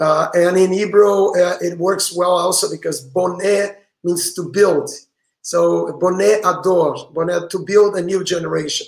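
A man with a Portuguese accent speaks at a fairly slow pace in a high pitch with monotone, flat intonation. Room echo is audible, though the background is quiet. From Brazil. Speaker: rabbi and author; rabbi. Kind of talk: interview. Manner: halting. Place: home room.

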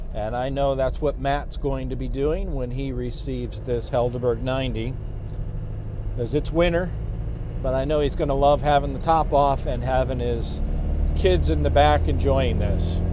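A man speaks at a moderate pace. The sound is dry with no echo, and there's noticeable background noise. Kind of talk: casual product walkthrough while driving. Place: car.

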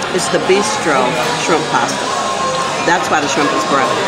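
A woman at a moderate pace, with loud music in the background. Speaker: food vlogger. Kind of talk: casual vlog chat. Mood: warm, upbeat. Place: cafe. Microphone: phone near.

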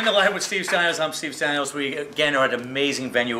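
Talking very fast with a New York accent, a man shows ordinary pitch variation over light background noise. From Brooklyn, New York. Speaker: talk show host. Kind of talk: casual talk show interview. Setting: live venue with audience. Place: bar.

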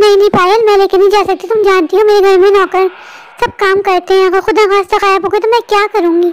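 A cartoonish character voice rattles along at a very fast pace. Its intonation stays monotone and flat. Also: woman, extremely high pitch for a woman. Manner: worried, soothing, curious.

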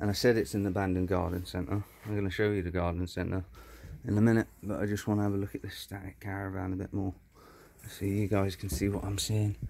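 Very fast and monotone, the voice has a dark, mellow tone and flat intonation, with light background noise behind it. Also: man, fairly low pitch for a man. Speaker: urban explorer vlogger. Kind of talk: casual vlog chat. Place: open country. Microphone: phone near.

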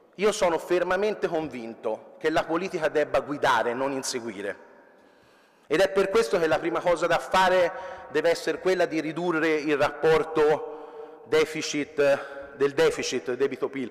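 A man speaks in a plain, everyday voice, pitched fairly high for a man. His pace is moderate, with ordinary pitch variation. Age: 30s. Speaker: entrepreneur; speaker. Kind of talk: conference speech. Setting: stage with audience. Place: hall. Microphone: podium.

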